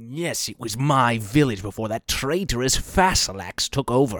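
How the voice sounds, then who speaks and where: On a very clean recording with a silent background, a man does a put-on character voice at medium pitch and a moderate pace. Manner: defensive, blustering, frantic.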